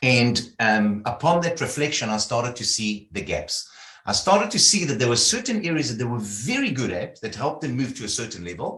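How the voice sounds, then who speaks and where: With lively intonation, a man talks at a fairly quick pace. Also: medium pitch for a man. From South Africa. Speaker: leadership consultant. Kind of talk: interview.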